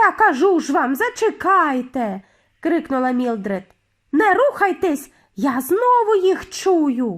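Using a put-on character voice, a woman goes shrill at an extremely high pitch with very wide pitch swings, talking at a fairly slow pace on a very clean recording with a silent background. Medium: read story. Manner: shrill, insistent.

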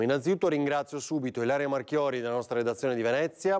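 Ordinary pitch variation from a man, set against a quiet background. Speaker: TV talk show host. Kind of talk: live TV talk show. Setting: TV studio. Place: studio. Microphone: lapel.

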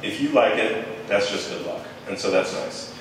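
There is strong room echo and light background noise as a man talks at a moderate pace. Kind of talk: informal talk to an audience. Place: hall.

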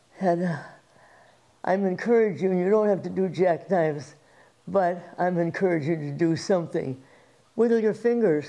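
Speaking at a moderate pace, a woman uses a fairly low pitch and a dark, mellow tone. She leaves long, frequent pauses. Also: ordinary pitch variation, quiet background. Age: 80s+. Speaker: fitness instructor. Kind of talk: workout demonstration. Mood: warm, upbeat. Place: home room.

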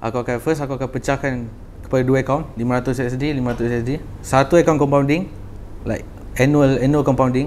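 A man talks at medium pitch and a moderate pace in a monotone, flat delivery, with light background noise. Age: 20s. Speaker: young trader; podcast guest. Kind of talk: casual chat. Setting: studio. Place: studio. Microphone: lapel.

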